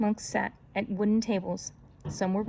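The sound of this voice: This is an unforced reading voice. It comes across without strain.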